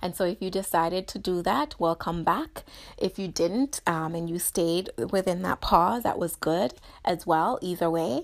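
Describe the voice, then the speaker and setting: A woman with a Jamaican accent, fairly low in pitch, with a warm tone, ordinary pitch variation and a moderate pace, on a very clean recording with a silent background. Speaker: podcast host, therapist and PhD student. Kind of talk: guided mindfulness reflection; casual solo monologue. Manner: warm, encouraging.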